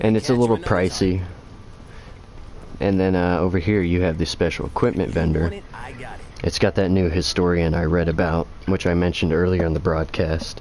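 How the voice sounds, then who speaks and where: Over noticeable background noise, a man with a very deep, low pitch talks at a moderate pace with very even loudness and long, frequent pauses. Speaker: video game streamer. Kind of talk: gameplay livestream commentary. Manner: casual, with fillers. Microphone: game audio echo and lag.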